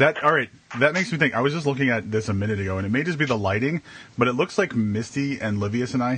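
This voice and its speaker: A man with an American accent speaks at a very fast pace. His intonation is lively. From Wisconsin. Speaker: podcast co-host. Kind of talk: casual chat. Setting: live video stream. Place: home room. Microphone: video call.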